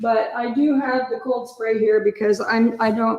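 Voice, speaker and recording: Using a plain, everyday voice, a woman speaks at a fairly slow pace and fairly high pitch with fairly even intonation. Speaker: sugar art and cake decorating instructor. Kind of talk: tutorial.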